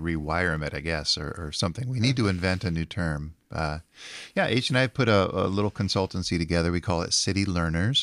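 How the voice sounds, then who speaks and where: A man speaks with a very deep, low pitch and ordinary pitch variation on a very clean recording with a silent background. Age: 70s. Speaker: urban ministry leader. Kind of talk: casual chat.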